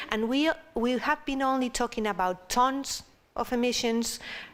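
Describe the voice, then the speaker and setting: Someone speaks at a moderate pace with a Spanish accent. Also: woman. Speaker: panel discussion speaker. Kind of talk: panel discussion.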